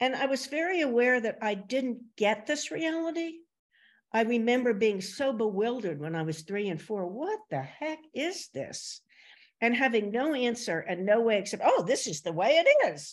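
A woman speaks with a New Jersey accent, her pitch swinging very widely. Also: fairly high pitch for a woman, moderate pace, quiet background. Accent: American, New Jersey. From US Northeast, Princeton, New Jersey. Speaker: podcast host. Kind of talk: casual interview conversation.

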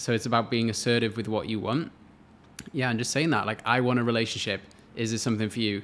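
A man with a Welsh accent talks at a very fast pace. His pitch is medium and his intonation fairly even. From Wales. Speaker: relationship coach. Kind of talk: casual chat.

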